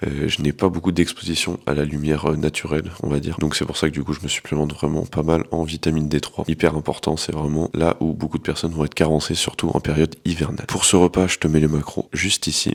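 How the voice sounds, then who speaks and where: A soft-spoken man with a very deep, low pitch talks in a flat monotone at a very fast pace with hardly any pauses, over noticeable background noise. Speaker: fitness coach and vlogger. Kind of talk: casual vlog narration. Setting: at home.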